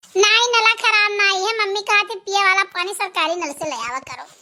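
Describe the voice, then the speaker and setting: A woman puts on a cartoonish character voice at an extremely high pitch. Her intonation is lively and her pace fairly quick. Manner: playful, coy.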